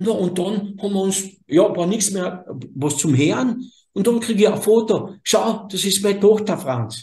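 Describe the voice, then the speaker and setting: A high-pitched man with a Carinthian accent and lively intonation. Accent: Carinthian Austrian German. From southern Carinthia, Austria (Slovene minority). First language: Slovene (speaking German). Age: 60s. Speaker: energy healer. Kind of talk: interview conversation. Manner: halting, self-correcting.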